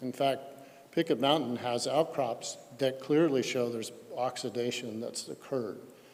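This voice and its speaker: In an American accent, a man speaks at a moderate pace and medium pitch with fairly even intonation. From Colorado. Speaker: geochemistry expert witness. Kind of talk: technical presentation at public hearing. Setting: public hearing. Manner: halting with fillers.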